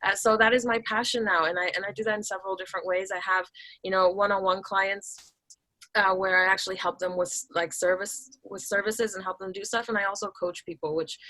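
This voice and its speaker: At a very fast pace, a woman with an American accent speaks at medium pitch with a bright, sharp tone and fairly even intonation. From Taiwan. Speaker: business automation coach. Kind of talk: podcast interview. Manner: many filler words and restarts.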